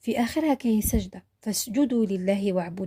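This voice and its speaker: In an Algerian accent, the voice comes across dark, mellow and somewhat breathy at a moderate pace, with ordinary pitch variation and a dry, close sound with no echo. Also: woman. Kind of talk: religious history narration.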